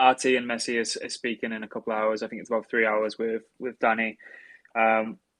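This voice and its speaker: Talking at a fairly quick pace, a man holds a medium pitch in a monotone, flat intonation, his loudness swinging widely, in a dry, close sound with no echo. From northeast England. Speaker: podcast host. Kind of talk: podcast wrap-up.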